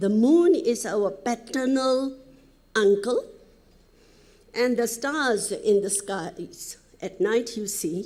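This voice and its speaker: With audible room echo, a woman speaks at a very slow pace in a fairly high pitch. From Nepal, Helambu (Sindhupalchok). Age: 70s. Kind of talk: conference presentation. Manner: halting, with frequent fillers.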